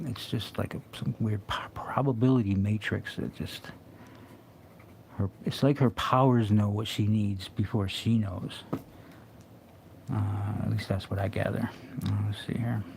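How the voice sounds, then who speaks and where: The speech is mumbled and somewhat breathy, at a fairly slow pace. Long, frequent pauses break it up, and the pitch varies in an ordinary way. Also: man, fairly low pitch for a man. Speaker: comic artist streaming live drawing. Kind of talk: casual live-stream commentary while drawing. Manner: mumbling to himself; halting, many fillers.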